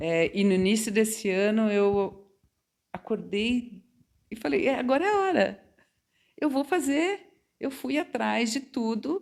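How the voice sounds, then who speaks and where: A woman's fairly high voice at a fairly slow pace, with very wide pitch swings and long, frequent pauses. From Brazil, São Paulo state interior (Quintana). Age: 60s. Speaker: mature psychology student. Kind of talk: interview, personal storytelling. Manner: conversational, hesitant repetitions.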